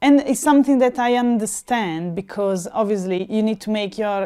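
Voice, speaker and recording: A woman's dark, mellow voice at medium pitch, with ordinary pitch variation, on a very clean recording with a silent background. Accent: Italian. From Italy. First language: Italian. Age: 30s. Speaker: interviewee. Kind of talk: interview. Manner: animated; halting.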